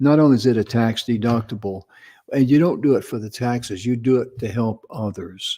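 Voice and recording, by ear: A man speaks at medium pitch with ordinary pitch variation and a moderate pace. His tone is dark and mellow.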